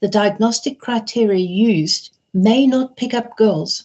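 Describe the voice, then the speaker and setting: A woman with a British accent speaks in a somewhat breathy voice. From Britain. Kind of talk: webinar lecture.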